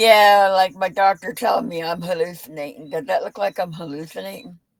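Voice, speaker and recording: Speaking at a fairly quick pace in a plain, everyday voice, a woman with a medium pitch and ordinary pitch variation makes big swings in loudness. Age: 60s. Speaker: psychic medium. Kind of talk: casual chat.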